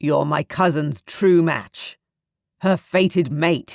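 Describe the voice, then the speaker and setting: In a put-on character voice, a woman growls at a very slow pace with a fairly low pitch. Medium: read story. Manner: stern, commanding.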